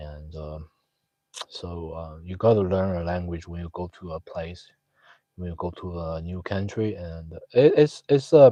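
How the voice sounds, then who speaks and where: A man with a Chinese accent speaks in a very deep, dark, mellow voice at a fairly slow pace, with ordinary pitch variation and big swings in loudness. The background is quiet. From China. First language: Mandarin Chinese. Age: 30s. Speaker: live streamer. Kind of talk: casual chat. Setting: live stream chat room. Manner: halting, many fillers.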